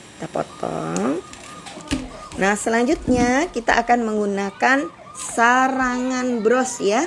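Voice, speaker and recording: The woman talks very slowly. Noticeable background noise is present throughout. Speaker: craft tutorial host. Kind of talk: live tutorial. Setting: livestream. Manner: chatty.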